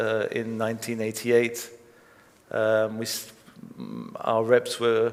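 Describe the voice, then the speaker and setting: Amid audible room echo, a man at medium pitch speaks very slowly with long, frequent pauses and big swings in loudness. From Belgium. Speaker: record label founder. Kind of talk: onstage interview.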